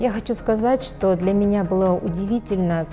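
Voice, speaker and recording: A woman at a moderate pace with ordinary pitch variation, clear music playing in the background. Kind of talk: interview answer. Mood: warm, enthusiastic. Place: studio. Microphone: lapel.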